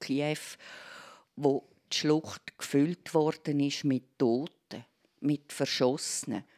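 A woman with a very deep, low pitch talks at a very slow pace and fairly even intonation, in a dry, close sound with no echo on a very clean recording with a silent background. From Switzerland, Aargau (Endingen). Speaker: arts journalist. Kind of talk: casual interview. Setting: live radio in a library.

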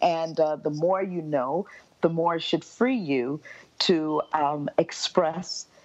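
A woman's fairly low-pitched voice with an American accent, at a very slow pace with ordinary pitch variation. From US South, Miami, Florida. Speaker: classical soprano singer. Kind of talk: interview.

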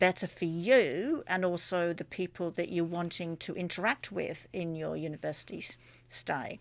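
Here is a normal speaking voice from a woman at medium pitch. She goes at a fairly slow pace over a very clean recording with a silent background. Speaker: radio host. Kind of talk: radio interview. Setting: radio studio. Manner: upbeat, friendly.

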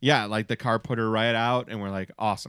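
On a very clean recording with a silent background, a man with an American accent talks at medium pitch with fairly even intonation in a normal speaking voice. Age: 40s. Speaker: podcast host. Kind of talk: casual chat. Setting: studio.

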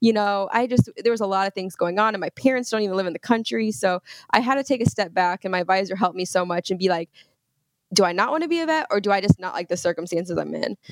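A woman's medium-pitched voice with an American accent, very fast and lively in intonation, in a dry, close sound with no echo. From Indiana, US Midwest. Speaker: veterinary student and social media influencer. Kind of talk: casual chat.

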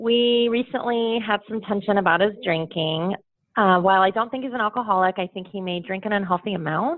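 A woman with an unremarkable speaking voice, a medium pitch and ordinary pitch variation, at a fairly quick pace. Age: 40s. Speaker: caller with a dating question. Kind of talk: advice call.

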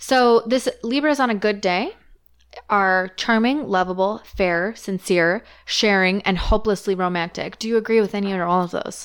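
In a very clean recording with a silent background, a woman with a Canadian accent speaks at a medium pitch in a plain, everyday voice. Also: ordinary pitch variation, moderate pace. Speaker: podcast host.

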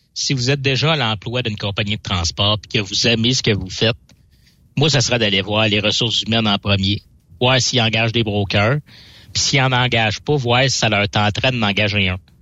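Here a man speaks in an unremarkable speaking voice at medium pitch. His pace is moderate and his pitch varies in an ordinary way. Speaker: freight broker. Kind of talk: casual chat. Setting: studio.

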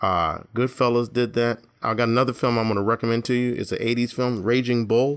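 A normal speaking voice: a man at medium pitch, fairly even intonation, fairly quick pace. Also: very clean recording, silent background. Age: 50s. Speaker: podcast co-host. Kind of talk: casual chat.

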